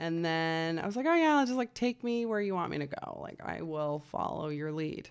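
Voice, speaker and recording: Lively intonation marks this woman's normal speaking voice. She talks at a moderate pace and a fairly low pitch. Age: 30s. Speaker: podcast host. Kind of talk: casual chat.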